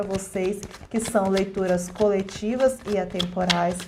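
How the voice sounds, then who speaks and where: A woman's medium-pitched, monotone, flat voice, with audible room echo and noticeable background noise. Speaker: tarot card reader. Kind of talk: collective tarot reading. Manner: slow.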